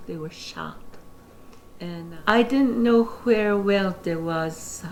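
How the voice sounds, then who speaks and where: Speaking very slowly with an American accent, a woman comes through over noticeable background noise. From Navajo Nation, American Southwest. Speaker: former Navajo Council secretary. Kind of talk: interview answer.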